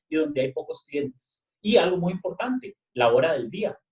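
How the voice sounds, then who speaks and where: A man talks with a high-pitched voice. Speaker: engineering professor. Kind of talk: lecture. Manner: fast.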